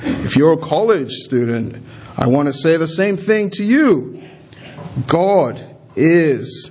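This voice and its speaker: Noticeable background noise and audible room echo accompany a man speaking at a very slow pace with ordinary pitch variation. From Nigeria. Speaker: pastor. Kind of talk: sermon.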